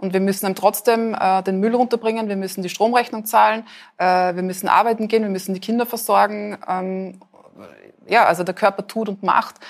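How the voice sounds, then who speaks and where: Speaking at a fairly quick pace, a woman of medium pitch uses monotone, flat intonation. Her very clean recording has a silent background. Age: 40s. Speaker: author and photographer. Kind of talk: interview at live event. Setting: café with live audience.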